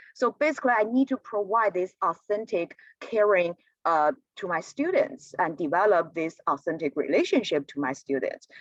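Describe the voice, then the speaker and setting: A woman with a Chinese accent speaks with vocal fry and very wide pitch swings. The sound is dry and close, with no echo. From China. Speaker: community college teacher. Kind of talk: presentation. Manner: halting, many fillers.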